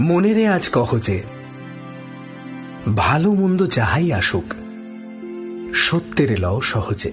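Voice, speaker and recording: Over music in the background, a man's fairly high, strained voice makes very wide pitch swings while keeping a very even loudness. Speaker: radio jockey. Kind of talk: poetry reading. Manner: calm, intimate, restrained.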